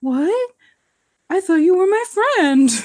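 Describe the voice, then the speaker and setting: Pitched extremely high, the speaker uses a put-on character voice. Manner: sad, dismayed.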